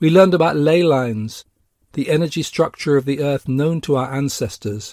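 A man with an English accent, fairly high in pitch, with ordinary pitch variation at a moderate pace, on a very clean recording with a silent background and a dry, close sound with no echo. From England. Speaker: spiritual teacher and podcast host. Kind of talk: scripted narration.

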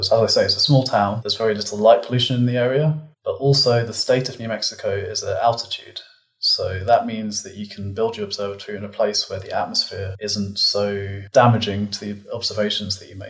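At a fairly quick pace, a man with a British accent speaks with big swings in loudness. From United Kingdom, London and Cambridge. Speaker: physicist. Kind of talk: casual interview conversation.

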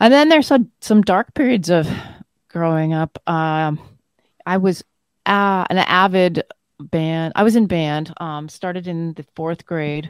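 A woman with a Canadian accent speaks at a fairly slow pace in a fairly low pitch, with ordinary pitch variation and big swings in loudness. It is an unremarkable speaking voice with a dry, close sound and no echo. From northern Manitoba, Canada. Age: 50s. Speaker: doctor. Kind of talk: casual interview.

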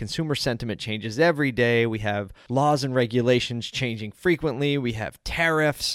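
A man's unremarkable speaking voice at medium pitch and a fairly quick pace, dry and close with no echo, in a very clean recording with a silent background. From South Philadelphia, Pennsylvania, US. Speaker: podcast host. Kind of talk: solo podcast monologue. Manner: casual, conversational.

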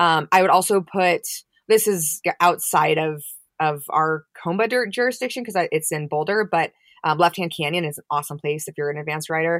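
A woman's fairly low, fairly quick delivery, an ordinary speaking voice with ordinary pitch variation and big swings in loudness, the sound dry and close with no echo. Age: 30s. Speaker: mountain bike coach. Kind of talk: casual interview. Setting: remote call from a closet.

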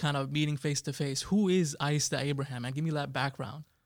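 A man speaks at a fairly quick pace in an ordinary speaking voice, fairly high in pitch. The recording is very clean, with a silent background. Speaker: podcast host. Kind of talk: casual interview chat. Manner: casual, conversational.

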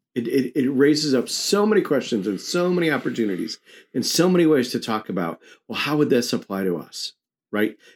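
Talking at a fairly quick pace, a man with an American accent and vocal fry swings very widely around a fairly high pitch on a very clean recording with a silent background. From New York. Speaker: ministry coach. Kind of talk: casual chat. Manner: blunt.

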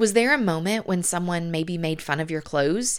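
On a very clean recording with a silent background, a voice with a warm tone speaks with a Southern US accent. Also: woman. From US South. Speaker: podcast host and author. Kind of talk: podcast monologue with faith-based encouragement. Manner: warm, encouraging.

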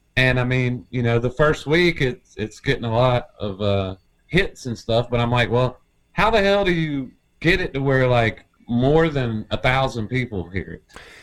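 A man with a plain, everyday voice speaks at a moderate pace in a medium pitch, his intonation lively. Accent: American. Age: 40s. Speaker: musician, bass player. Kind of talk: casual chat.

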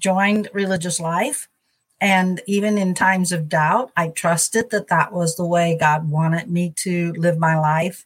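A woman with an American accent speaks at a very slow pace. Her pitch is medium, with ordinary variation and a somewhat breathy quality. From US Midwest, St. Louis, Missouri. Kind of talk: interview conversation. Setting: video call.

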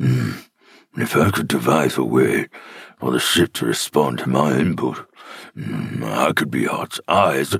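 A raspy man's voice, very deep and low, at a fairly slow pace, in a dry, close recording with no echo. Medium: audio drama. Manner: thoughtful, analytical.

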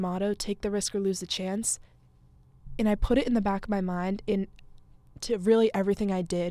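A woman speaks in an American accent at a medium pitch. Her tone is dark and mellow, her intonation fairly even. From Massachusetts, near Boston. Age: young. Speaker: podcast host, college student. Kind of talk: casual monologue. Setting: studio.

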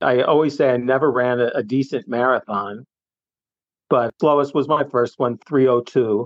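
A man with an American accent speaks in a normal speaking voice. His pitch is medium with ordinary variation, and his pace is moderate. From US, suburban Philadelphia. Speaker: retired recreational runner and cyclist. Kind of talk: casual chat.

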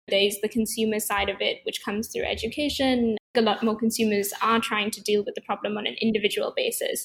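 Somewhat breathy and fairly high-pitched, a woman speaks at a fairly quick pace with fairly even intonation. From Sri Lanka. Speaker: startup co-founder. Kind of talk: casual interview.

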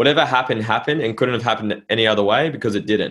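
With ordinary pitch variation and a medium pitch, a man with an Australian accent speaks in a very clean recording with a silent background. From Norfolk Island. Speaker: entrepreneur and mindset coach. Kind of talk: casual interview.

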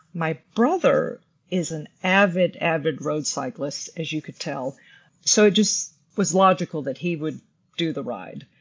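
A woman's fairly low-pitched voice at a fairly slow pace, a plain, everyday voice with ordinary pitch variation. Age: 50s. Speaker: amateur triathlete. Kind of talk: casual chat.

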